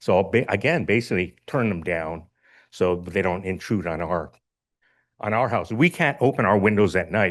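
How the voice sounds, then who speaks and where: A man's fairly low voice against a quiet background, an ordinary speaking voice at a moderate pace with ordinary pitch variation. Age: 60s. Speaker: public commenter, local resident. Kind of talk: public comment at board meeting. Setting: school board meeting.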